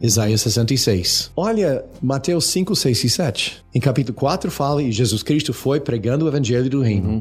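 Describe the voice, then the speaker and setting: A somewhat breathy man's voice at medium pitch, with an English accent, lively intonation and very even loudness. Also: moderate pace, hardly any pauses. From United States. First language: English (speaking Portuguese). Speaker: retired missionary and seminary teacher. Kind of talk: theological discussion. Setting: studio.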